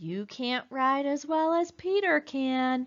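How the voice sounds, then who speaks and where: A woman's put-on character voice, high-pitched with lively intonation, at a fairly slow pace. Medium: read story. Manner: brisk, businesslike.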